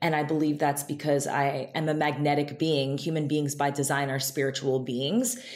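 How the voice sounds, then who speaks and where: Over noticeable background noise, a woman with an American accent and a very deep, low pitch keeps fairly even intonation at a moderate pace with hardly any pauses. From Israel, then upstate New York. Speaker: beauty entrepreneur, esthetician. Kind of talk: interview conversation.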